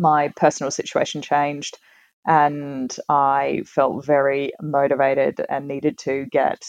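A woman speaks in a very deep, low voice. The sound is dry and close, with no echo. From Tasmania, Australia. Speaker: real estate agent. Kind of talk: casual interview. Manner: hesitant, many fillers and repetitions.

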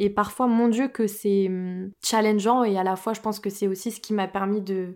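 In a very clean recording with a silent background, a woman at medium pitch speaks fairly slowly with flat, monotone intonation. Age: 20s. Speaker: medium and spiritual podcaster. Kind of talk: solo podcast monologue. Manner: hesitant, many fillers.

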